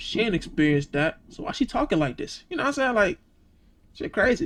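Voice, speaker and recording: The man's voice is extremely high in pitch, with very wide swings. He talks at a fairly quick pace. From Georgia, US South. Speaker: reaction youtuber. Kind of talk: casual reaction commentary. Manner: animated.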